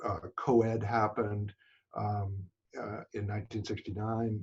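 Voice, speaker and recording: The voice is somewhat breathy, with an American accent and a moderate pace. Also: man. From New York City. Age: 70s. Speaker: photographer. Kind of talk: interview. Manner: halting, many fillers.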